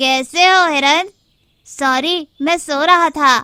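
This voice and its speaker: In a cartoonish character voice, a woman speaks at a high pitch and a very slow pace with ordinary pitch variation. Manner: dim-witted, blundering.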